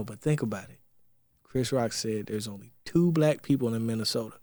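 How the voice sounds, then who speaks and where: At a fairly quick pace, a man talks in an animated tone with ordinary pitch variation and big swings in loudness. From South Carolina. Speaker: podcast co-host. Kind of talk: casual chat.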